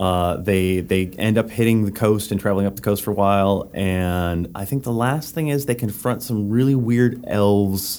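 Using a normal speaking voice, a man talks at a moderate pace with hardly any pauses, a fairly low pitch and ordinary pitch variation. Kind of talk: casual chat.

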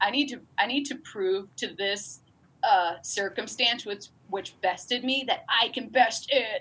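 A woman's voice has a bright, sharp tone and lively intonation. She speaks at a fairly slow pace. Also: fairly high pitch for a woman. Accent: upstate New York. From upstate New York, near Albany. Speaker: comedy writer and performer. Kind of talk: casual interview chat.

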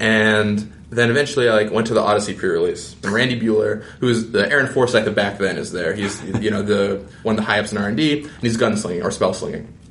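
A man talks at a very fast pace with hardly any pauses, a fairly low pitch and fairly even intonation. Noticeable background noise and audible room echo fill the recording. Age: 20s. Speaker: game designer. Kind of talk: casual chat.

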